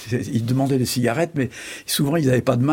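A man speaks very fast at a medium pitch. His pitch varies in an ordinary way, and noticeable background noise is present. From France, Charente. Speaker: journalist and essayist. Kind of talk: interview.

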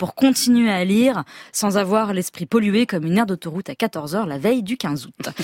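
A woman with an Auvergne accent, in a dry, close sound with no echo. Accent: Clermont-Ferrand. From France, Auvergne (Clermont-Ferrand). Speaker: novelist, regular columnist. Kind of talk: scripted radio column.

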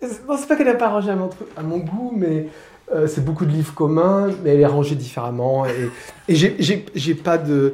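Noticeable background noise sits under a lively, varied intonation. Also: man, fairly high pitch for a man, moderate pace. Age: 60s. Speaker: playwright and theatre director. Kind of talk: casual interview at home. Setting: at his home. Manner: halting, repeating words.

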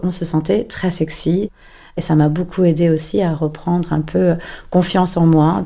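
Her dark, mellow tone stays fairly low in pitch, with fairly even intonation, as this woman talks at a fairly slow pace. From Paris. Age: 40s. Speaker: interviewee sharing personal story. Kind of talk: personal testimony. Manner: halting, many hesitations.

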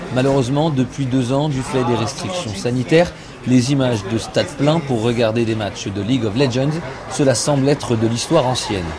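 Noticeable background noise and audible room echo surround a man's voice. He talks at a moderate pace in a medium pitch, with ordinary pitch variation. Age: 20s. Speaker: foreign correspondent. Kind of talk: scripted narration. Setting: remote from Seoul.

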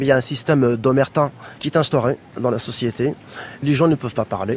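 In a plain, everyday voice, a man speaks at medium pitch and moderate pace with fairly even intonation. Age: 40s. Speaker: former telecom employee. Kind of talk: testimony.

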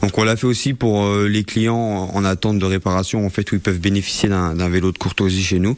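Noticeable background noise sits behind a man's voice. He speaks at a fairly low pitch with monotone, flat intonation. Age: 20s. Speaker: bike shop owner. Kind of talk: interview. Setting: in a shop. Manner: halting.

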